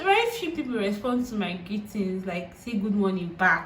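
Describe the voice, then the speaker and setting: In a room with audible echo, a woman with a Nigerian accent speaks with very wide pitch swings. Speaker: YouTuber. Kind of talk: vlog monologue. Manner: halting.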